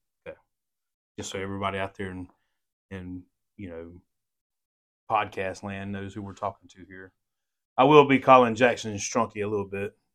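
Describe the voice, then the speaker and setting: A man speaks at a fairly low pitch and a fairly quick pace, with big swings in loudness and long, frequent pauses. The recording is very clean, with a silent background. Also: fairly even intonation. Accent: Southern US. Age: 40s. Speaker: podcast host, police officer. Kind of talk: casual interview.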